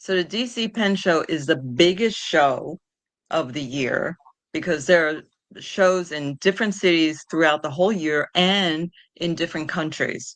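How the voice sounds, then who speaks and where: This woman has a New York accent and a fairly low voice with ordinary pitch variation. She talks at a fairly slow pace over a quiet background. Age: 60s. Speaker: patient advocate. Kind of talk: interview.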